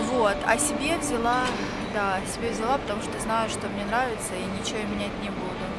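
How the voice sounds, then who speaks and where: Music plays behind a woman speaking at a moderate pace. Her voice sounds dry, with no echo. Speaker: vlogger. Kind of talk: casual vlog chat. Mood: relaxed, chatty. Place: shop. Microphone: phone near.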